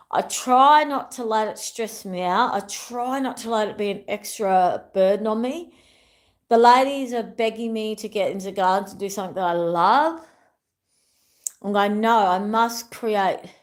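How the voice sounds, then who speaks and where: A woman with an Australian accent, fairly high in pitch, animated in tone, at a moderate pace, with ordinary pitch variation and big swings in loudness, on a very clean recording with a silent background. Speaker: wellness YouTuber. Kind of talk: casual livestream chat. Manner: rambling, repetitive.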